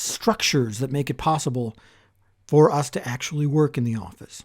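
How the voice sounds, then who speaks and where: A man with an American accent mumbles quietly at a moderate pace on a very clean recording with a silent background. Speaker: podcast host. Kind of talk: solo podcast monologue. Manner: quiet, mumbling. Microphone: close to the microphone.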